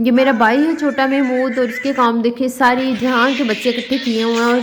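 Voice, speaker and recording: A woman's high-pitched voice with fairly even intonation and music in the background. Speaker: vlogger. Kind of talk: vlog narration. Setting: village wedding.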